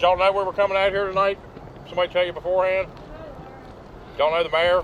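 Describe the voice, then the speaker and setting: A high-pitched man with an Appalachian accent, very fast and monotone, flat in intonation, over noticeable background noise. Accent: Southern US (Appalachian). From US South, hill country. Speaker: paranormal investigator. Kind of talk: casual chat during ghost hunt.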